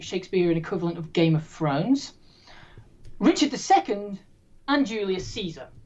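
The speaker has an English accent. Pitch swings very widely and loudness rises and falls sharply. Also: woman. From English Midlands. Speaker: quiz host. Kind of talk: hosting a trivia game. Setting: video call.

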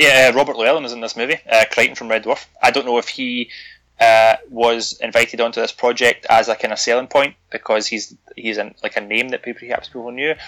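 Very fast, monotone, flat delivery from a man with a bright, sharp tone at medium pitch. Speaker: podcast host, horror film reviewer. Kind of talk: casual chat, film review. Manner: joking, chatty.

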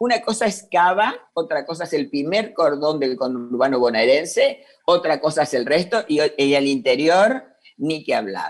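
A woman with a Rioplatense accent talks at a fairly slow pace. Her very deep, low voice makes very wide pitch swings. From Buenos Aires, Argentina. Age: 60s. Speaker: NGO president. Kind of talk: interview.

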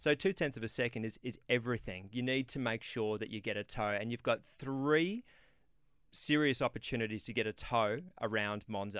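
With an Australian accent, a man speaks at a medium pitch and a moderate pace with ordinary pitch variation. The sound is dry and close with no echo, on a very clean recording with a silent background. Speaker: former racing driver and co-host. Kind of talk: casual chat, expert analysis. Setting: radio studio.

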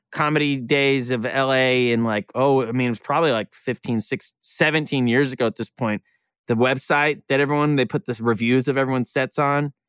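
In a very clean recording with a silent background and a dry, close sound with no echo, a normal speaking voice moves at a fairly quick pace with ordinary pitch variation. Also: man. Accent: American. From Oklahoma (Tulsa). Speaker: comedian and actor. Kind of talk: casual chat.

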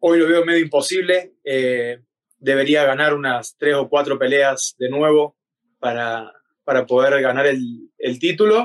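A man with an Argentine accent at a fairly high pitch, ordinary pitch variation and a fairly slow pace, in a dry, close sound with no echo. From Argentina. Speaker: MMA fighter. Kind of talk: interview.

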